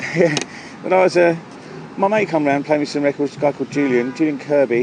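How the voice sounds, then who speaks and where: Over noticeable background noise, a man speaks at a fairly quick pace. His fairly high pitch carries lively intonation. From southern England, Surrey (Leatherhead). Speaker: house music DJ. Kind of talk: casual chat. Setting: outdoors at a pub. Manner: halting, many fillers and repetitions.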